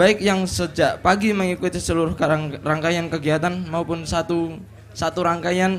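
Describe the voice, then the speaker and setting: Amid noticeable background noise, a man with a high-pitched voice speaks at a moderate pace. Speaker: event MC. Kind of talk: formal event announcements. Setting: stage with audience. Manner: formal.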